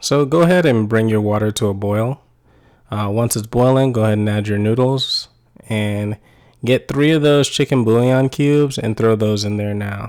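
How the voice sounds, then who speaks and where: An American accent marks this man's speech. His pitch is medium and his pace moderate. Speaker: cooking channel host. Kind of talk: tutorial. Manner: monotone.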